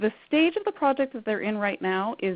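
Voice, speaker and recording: A woman with a Canadian accent and an ordinary speaking voice talks at a fairly quick pace, with a medium pitch and lively intonation. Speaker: credit counsellor presenting a workshop. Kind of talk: webinar presentation.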